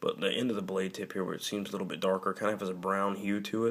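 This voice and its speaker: A man's fairly low, monotone voice with flat intonation under noticeable background noise. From Alabama. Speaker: knife reviewer. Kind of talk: product review. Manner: casual, with many fillers.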